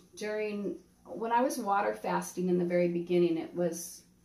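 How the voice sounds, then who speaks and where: Moderately paced, a woman with a fairly low pitch makes very wide pitch swings over noticeable background noise. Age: 60s. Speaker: cancer survivor. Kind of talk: interview.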